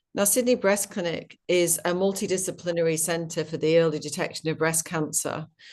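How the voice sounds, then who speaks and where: Against a quiet background, the speaker talks in a British accent at a moderate pace with fairly even intonation. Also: woman. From UK. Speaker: company executive. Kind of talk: interview. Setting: webinar video call. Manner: passionate.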